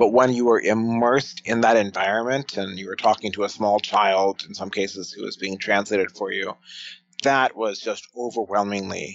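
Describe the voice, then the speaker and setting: In a plain, everyday voice, a man with an American accent speaks at a moderate pace with fairly even intonation and big swings in loudness. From United States. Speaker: futurist and author. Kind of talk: podcast interview.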